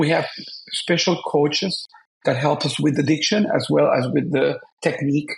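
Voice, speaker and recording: Someone with a Spanish accent speaks at a moderate pace with lively intonation. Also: man. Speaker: opera singer. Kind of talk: interview.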